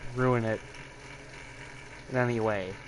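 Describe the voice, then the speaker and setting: Against noticeable background noise, a man with a medium pitch talks at a fairly slow pace. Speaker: streamer. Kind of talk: live stream chat while gaming. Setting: live stream.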